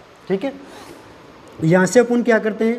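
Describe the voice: A man's high-pitched voice has a slightly mellow tone and fairly even intonation. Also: moderate pace.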